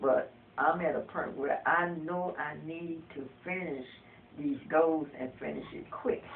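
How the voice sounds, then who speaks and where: Under noticeable background noise, the talking goes fairly slowly. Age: 60s. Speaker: counseling client. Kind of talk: counseling session.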